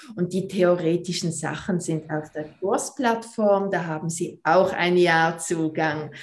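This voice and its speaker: A woman speaks at a very slow pace. Her pitch rises and falls in an ordinary way. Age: 40s. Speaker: movement teacher and pelvic floor trainer. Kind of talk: podcast interview.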